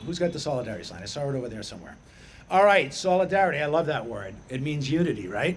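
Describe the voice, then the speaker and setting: Very fast, lively intonation in a Boston accent, with audible room echo. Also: man. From Boston area, Massachusetts (Chelsea). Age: 60s. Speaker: middle school teacher and activist. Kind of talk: rally speech. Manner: loud; animated.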